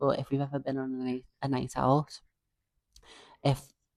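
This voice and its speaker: Someone speaks in a Liverpool accent at a moderate pace. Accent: Scouse. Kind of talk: podcast conversation.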